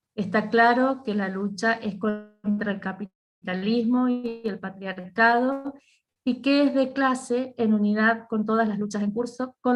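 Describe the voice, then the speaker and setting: A woman's fairly high voice at a fairly slow pace, with fairly even intonation and music in the background. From Mendoza, Argentina. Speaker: teacher unionist. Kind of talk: panel talk.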